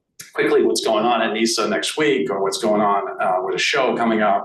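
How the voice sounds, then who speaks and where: A man in a Boston accent speaks at a moderate pace amid noticeable background noise and audible room echo. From Boston area, US. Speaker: arts association president. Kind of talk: meeting presentation. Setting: meeting room with in-person and online audience. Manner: halting, many fillers.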